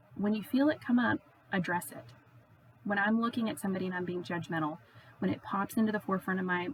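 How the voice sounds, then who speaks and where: Speaking fairly quickly at medium pitch with ordinary pitch variation, a woman is heard over noticeable background noise. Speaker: confirmation class teacher. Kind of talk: catechesis talk to teens. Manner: loud; animated.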